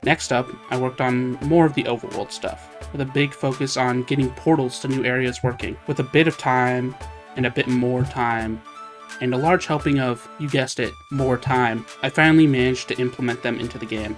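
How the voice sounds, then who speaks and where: A man talks at a fairly quick pace with lively intonation and a medium pitch. Music plays in the background. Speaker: hobby game developer. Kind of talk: devlog narration over gameplay.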